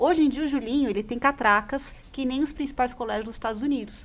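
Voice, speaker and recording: Her voice is high-pitched as the woman talks at a fairly quick pace. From São Paulo state, interior (caipira), Brazil. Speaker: radio host. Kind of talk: personal testimony on a radio talk show.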